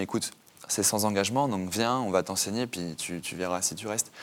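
Talking at a very fast pace, this man has a fairly low pitch and ordinary pitch variation. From Normandy, France. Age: 20s. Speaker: author. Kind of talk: interview testimony. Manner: halting, many fillers.

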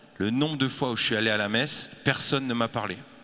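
Noticeable background noise surrounds a man's voice. He speaks at medium pitch and a fairly quick pace with fairly even intonation. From France. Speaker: communication agency founder. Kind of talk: panel discussion.

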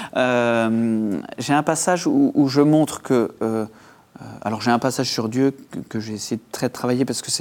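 The man's voice sits at a medium pitch and keeps a fairly even intonation. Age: 40s. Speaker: author. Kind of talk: interview. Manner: halting, many repetitions.

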